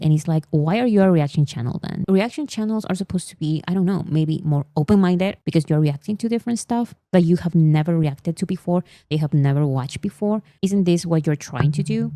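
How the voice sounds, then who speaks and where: A woman with a Spanish accent speaks at a fairly quick pace with hardly any pauses. Her dark, mellow voice sits at a fairly low pitch with ordinary variation, the sound dry and close with no echo. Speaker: music video essayist. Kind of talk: commentary on reaction videos. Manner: animated.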